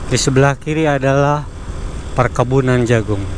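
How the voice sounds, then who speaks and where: Moderately paced male speech at a mid-range pitch amid noticeable background noise. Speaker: motovlogger. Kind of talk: vlog narration while touring. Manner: casual, halting with fillers.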